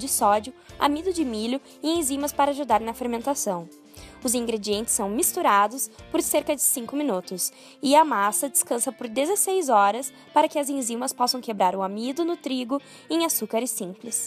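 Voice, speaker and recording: Over music in the background, a woman speaks with a high pitch. Her intonation is lively and her pace moderate. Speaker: nutrition student. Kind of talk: documentary voice-over narration. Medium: dub.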